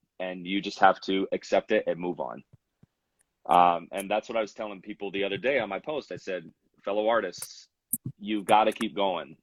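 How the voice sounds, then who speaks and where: A man with a plain, everyday voice and an American accent, fairly low pitch with ordinary pitch variation, moderate pace, in a dry, close sound with no echo. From Utah, US. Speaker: hip-hop rapper and producer. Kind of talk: interview. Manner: casual, many fillers.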